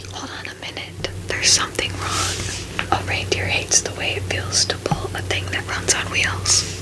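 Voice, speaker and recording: Whispered at a moderate pace, the speech sits among noticeable background noise. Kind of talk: ASMR bedtime story reading. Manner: soft-spoken, calming.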